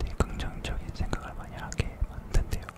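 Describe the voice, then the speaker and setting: Over noticeable background noise, a man whispers. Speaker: K-pop idol, singer-songwriter. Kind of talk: casual ASMR talk to camera.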